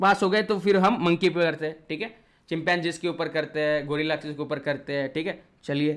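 Against a quiet background, a man with a fairly high pitch speaks in an animated tone at a moderate pace. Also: ordinary pitch variation. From India. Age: 20s. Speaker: online biology teacher. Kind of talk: lecture.

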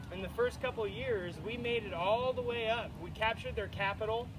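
Background noise can be clearly heard. The man talking keeps a moderate pace. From United States. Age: 20s. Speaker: speaker at a veterans memorial event; speaker. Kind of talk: public speech to a crowd. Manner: animated. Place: open country. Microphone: camera far.

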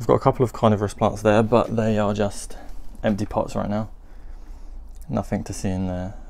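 With light background noise, a man in a British accent speaks at a fairly quick pace with long, frequent pauses, a fairly low pitch and fairly even intonation. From UK. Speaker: gardening vlogger. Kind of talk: casual video update. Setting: greenhouse, filming with camera. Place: garden. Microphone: phone near.

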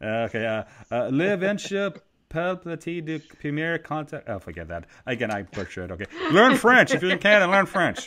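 Bright and sharp in tone, a man speaks at a moderate pace with big pitch swings. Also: fairly high pitch for a man.

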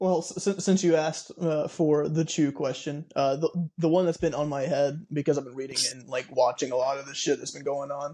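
A man talks at a moderate pace with hardly any pauses. His voice is fairly high-pitched, with a dark, mellow tone. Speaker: band member, podcast host. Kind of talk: casual chat. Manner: joking.

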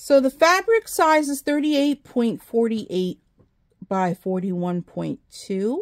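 Against a quiet background, a woman speaks at a very slow pace with very wide pitch swings. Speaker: crafting YouTuber. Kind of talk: casual haul video talk to camera. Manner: casual, chatty with fillers. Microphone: phone near.

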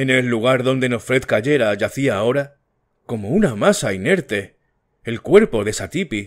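Speaking at a fairly slow pace, a man keeps to a medium pitch. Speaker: audiobook narrator. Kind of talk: audiobook reading.

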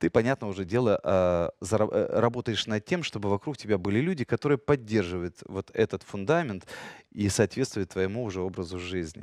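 Fairly quick speech from a man at a fairly low pitch over a quiet background. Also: ordinary pitch variation, dry sound with no echo. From Ukraine, Kyiv. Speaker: radio host and actor; radio host, actor. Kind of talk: casual chat. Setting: studio. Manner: animated. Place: studio. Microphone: headset.

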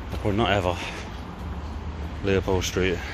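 The sound is dry with no echo, as a man with a very deep, low voice talks at a moderate pace in fairly even intonation over noticeable background noise. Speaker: urban explorer vlogger. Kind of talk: casual vlog chat. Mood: curious, slightly nervous. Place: street. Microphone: phone near.

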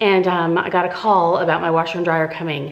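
A woman is speaking. Her pitch is fairly low. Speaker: home vlogger. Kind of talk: casual vlog chat. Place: home room. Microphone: phone near.

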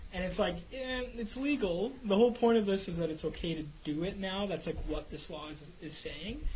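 Over light background noise, a man with a Canadian accent speaks in a high, lively voice at a moderate pace with hardly any pauses. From Canada. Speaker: radio show co-host. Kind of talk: casual chat. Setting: studio. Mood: concerned, earnest. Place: studio. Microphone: studio mic.

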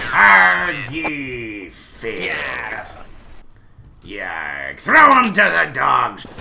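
A man speaks very slowly in a raspy, put-on character voice at a medium pitch. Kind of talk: comedic in-game role-play. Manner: blustering, commanding.

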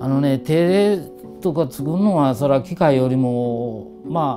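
With music in the background, a man's voice moves through very wide pitch swings. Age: 60s. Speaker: master blacksmith. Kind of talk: interview answer.

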